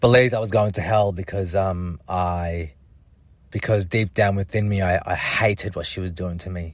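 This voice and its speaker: With an Australian accent, a man speaks at a moderate pace in a very deep, low pitch and fairly even intonation. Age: 30s. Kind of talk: personal testimony monologue. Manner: halting, many fillers and repetitions.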